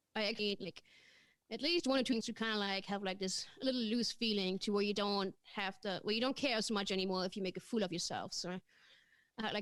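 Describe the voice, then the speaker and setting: A German accent at a fairly quick pace, with ordinary pitch variation. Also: woman. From Germany. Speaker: comedian. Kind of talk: casual interview chat.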